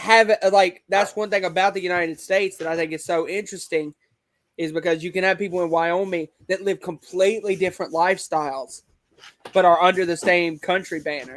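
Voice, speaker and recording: This man speaks with a Southern US accent in a high pitch. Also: fairly even intonation, fairly quick pace. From US South, Alabama. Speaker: online wrestling league creator. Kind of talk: casual interview chat. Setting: video call.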